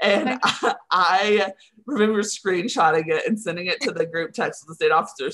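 Using a bright, sharp tone, a woman speaks fairly slowly in a Texan accent. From Texas (Henrietta, near Wichita Falls). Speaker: communications coordinator. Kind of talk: interview.

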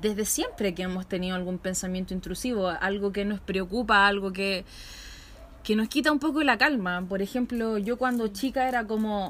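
With a Chilean accent, this woman talks at a moderate pace with ordinary pitch variation. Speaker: podcast host. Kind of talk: casual chat. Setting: outdoors in a patio.

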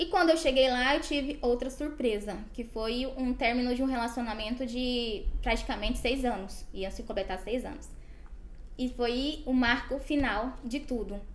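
This woman's high voice moves at a moderate pace, its pitch varying in an ordinary way. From Brazil, Goiás. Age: 20s. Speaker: medical student sharing faith testimony. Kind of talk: testimony.

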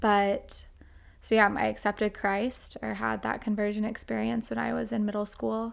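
Music plays in the background. A woman with an American accent speaks at a fairly slow pace. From Oklahoma, US. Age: 20s. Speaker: former missionary and creative entrepreneur. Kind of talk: casual interview conversation. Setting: warehouse with microphones.

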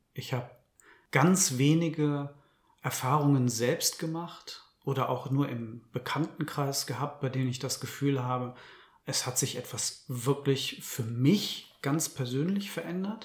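This man's fairly high, somewhat breathy voice moves at a fairly slow pace with ordinary pitch variation. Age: 30s. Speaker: journalist and author. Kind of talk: interview. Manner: careful, measured.

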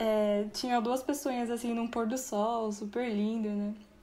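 There is noticeable background noise behind a woman speaking at a fairly slow pace. Her pitch is fairly high, with ordinary pitch variation. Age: 20s. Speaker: writer. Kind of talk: casual chat.

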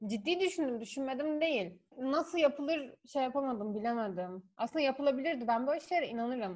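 A woman with a high pitch talks at a fairly quick pace, her intonation lively and hardly any pauses between phrases. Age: 20s. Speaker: guest, office worker. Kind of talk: casual chat.

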